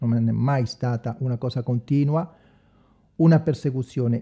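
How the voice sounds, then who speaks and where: Over a quiet background, a man with a fairly high pitch speaks slowly in a dark, mellow, somewhat breathy tone with fairly even intonation. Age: 40s. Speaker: evangelical preacher, online video maker; religious channel host. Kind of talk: improvised livestream monologue. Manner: halting, many fillers. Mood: earnest, somewhat defensive. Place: home room. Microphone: studio mic.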